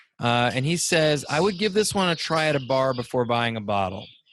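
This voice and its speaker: An unremarkable speaking voice with lively intonation keeps a moderate pace over a quiet background. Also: man. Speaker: digital marketing speaker and consultant. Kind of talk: casual podcast host talk.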